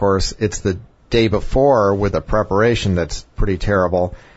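Here is a man with a normal speaking voice. He keeps a moderate pace and fairly even intonation. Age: 50s. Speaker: physician radio host. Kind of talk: health talk show.

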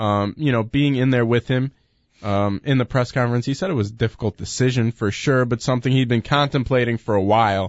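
Using a normal speaking voice, a man talks at a fairly quick pace and medium pitch, with ordinary pitch variation and very even loudness. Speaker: co-host sports talk. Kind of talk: casual sports talk radio.

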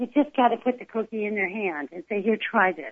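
In a plain, everyday voice, someone with an American accent speaks with lively intonation. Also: woman. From California. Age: 50s. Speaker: plant-based cooking advocate. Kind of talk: casual chat.

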